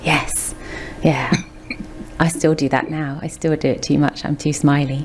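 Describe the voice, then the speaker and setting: The delivery is fairly slow, broken by long, frequent pauses. Intonation stays monotone and flat against noticeable background noise. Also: woman, very deep, low pitch for a woman. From England. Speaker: podcast host. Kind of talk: casual chat.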